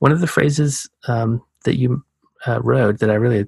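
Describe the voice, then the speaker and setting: A man with an American accent speaks at a moderate pace in a calm, somewhat breathy voice with ordinary pitch variation, recorded very clean against a silent background with dry, close sound and no echo. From US South, Georgia. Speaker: podcast host, oceanographer. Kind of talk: casual interview conversation.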